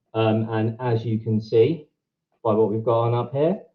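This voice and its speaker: Medium pitch, a man with a British accent, fairly even intonation and a moderate pace over a quiet background. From England, Brighton; England. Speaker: event co-host. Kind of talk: event hosting. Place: home room. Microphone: video call.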